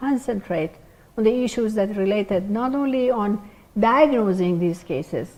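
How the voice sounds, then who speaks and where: A woman speaks at a moderate pace with a non-native accent, her fairly high pitch rising and falling in an ordinary way. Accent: foreign. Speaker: pathologist, department head. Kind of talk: lecture.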